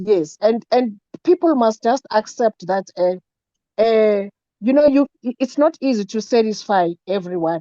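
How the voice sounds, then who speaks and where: A woman speaks at a fairly slow pace and a fairly high pitch, her tone dark and mellow, her intonation lively, and the sound dry and close with no echo. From South Africa. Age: 60s. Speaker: network marketing member. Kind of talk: online meeting Q&A. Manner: halting.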